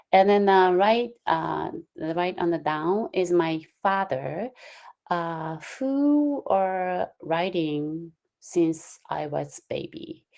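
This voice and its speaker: A woman with a Japanese accent. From Japan, Kyushu (Usuki). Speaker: calligraphy instructor. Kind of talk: lecture. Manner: halting, many fillers.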